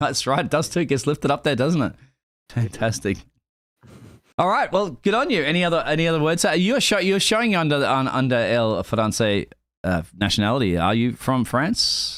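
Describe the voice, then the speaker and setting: A man with an Australian accent talks at a moderate pace in a fairly high pitch, with vocal fry, very wide pitch swings, and a very clean recording over a silent background. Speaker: sim racing stream caster. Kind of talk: live stream commentary and post-race interview.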